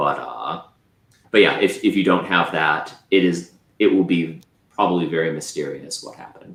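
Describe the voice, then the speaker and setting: Moderate tempo from a male speaker, loudness rising and falling sharply. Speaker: cybersecurity presenter. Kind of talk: Q&A after a tech presentation. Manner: halting, many fillers.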